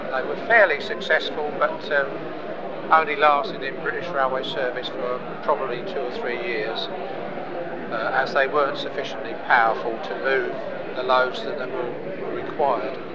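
Loud background noise behind a man speaking at a moderate pace. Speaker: model builder and exhibitor. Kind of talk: interview answer. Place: hall. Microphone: lapel.

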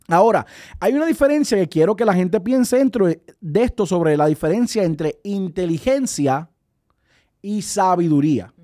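Against a quiet background, a man with a high pitch swings very widely up and down. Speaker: radio co-host. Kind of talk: devotional talk. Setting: studio. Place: studio. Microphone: studio mic.

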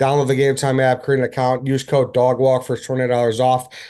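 The setting is quiet. A man speaks at a moderate pace. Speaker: podcast host. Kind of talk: ad read. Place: home room. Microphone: webcam.

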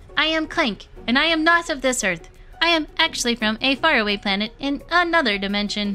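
Over clear background music, a woman puts on a character voice and talks at a fairly quick pace. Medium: game stream.

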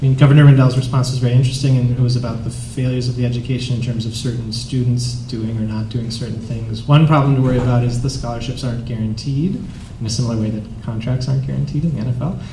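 A man with an American accent speaks very fast at a medium pitch, his intonation monotone and flat. The room has an audible echo, and there is noticeable background noise. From Wisconsin, Green Bay. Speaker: professor and moderator. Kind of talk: moderated panel.

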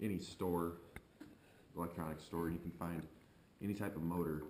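Very deep, low male voice in a monotone, flat delivery, with audible room echo and light background noise. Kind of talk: tutorial. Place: garage.

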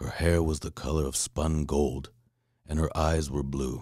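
Over a silent background on a very clean recording, a man with a very deep, low pitch and vocal fry speaks at a moderate pace in a calm, soothing tone with fairly even intonation. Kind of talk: bedtime story reading.

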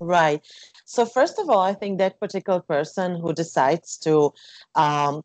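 A woman talks with lively intonation against a quiet background. The sound is dry with no echo. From Slovakia. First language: Slovak. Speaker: jazz singer; interview guest. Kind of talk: interview; interview answer. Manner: halting. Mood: calm, reflective. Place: home room. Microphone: earbuds.

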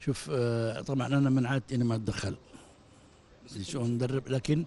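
Somewhat breathy, a man talks at a fairly quick pace and medium pitch with a dark, mellow tone. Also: dry sound with no echo. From Saudi Arabia. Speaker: football club director. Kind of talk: post-match interview. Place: hall. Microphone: handheld.

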